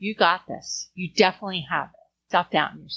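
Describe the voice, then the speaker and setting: A woman with an ordinary speaking voice, medium pitch and a moderate pace. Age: 60s. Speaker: venue owner. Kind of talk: interview.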